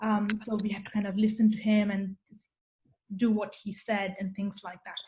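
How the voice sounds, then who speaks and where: A woman with a Marathi accent at a moderate pace, fairly high-pitched, somewhat breathy, with a dark, mellow tone. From India. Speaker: researcher and programming presenter. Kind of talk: online talk. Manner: hesitant, many fillers.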